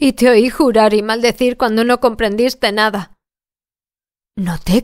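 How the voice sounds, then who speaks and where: A woman with a Spanish accent in a very clean recording against a silent background. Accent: Spain Spanish. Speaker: audiobook narrator. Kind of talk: audiobook reading.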